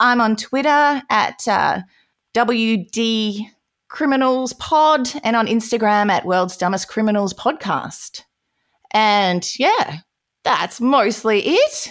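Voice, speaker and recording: A woman speaks at a very slow pace in a fairly high voice. Her loudness stays very even, with ordinary pitch variation. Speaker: true crime podcaster. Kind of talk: casual chat. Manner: laughs often.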